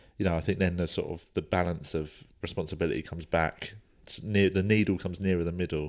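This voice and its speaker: A man's very deep, low voice in a British accent, very fast, with fairly even intonation, on a very clean recording with a silent background. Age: 30s. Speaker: stand-up comedian. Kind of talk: casual chat.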